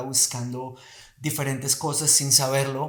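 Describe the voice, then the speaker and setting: A man speaks at a fairly slow pace with a fairly high pitch. His voice is somewhat breathy, and the room echo is audible. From Colombia. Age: 40s. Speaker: movement teacher. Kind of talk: casual chat.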